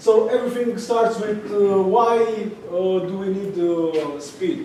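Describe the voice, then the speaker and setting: A man with a Romanian accent at a very slow pace, lively intonation, audible room echo and noticeable background noise. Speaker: tech entrepreneur, meetup speaker. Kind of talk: presentation. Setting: stage with audience. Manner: halting, many fillers and repetitions.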